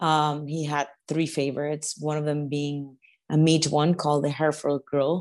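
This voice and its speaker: A woman speaks against a quiet background. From Venezuela. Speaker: chef. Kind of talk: interview conversation.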